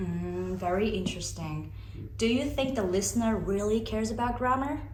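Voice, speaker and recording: Noticeable background noise runs under a woman speaking at a moderate speed. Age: 20s. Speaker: interviewer. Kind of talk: casual interview questions. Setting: outdoors.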